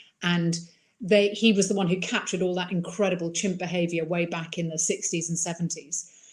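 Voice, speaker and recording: Somewhat breathy, fairly quick delivery in a flat monotone. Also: woman, fairly low pitch for a woman. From mixed upbringing: Iran, Ireland, England countryside. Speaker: wildlife filmmaker. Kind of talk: interview.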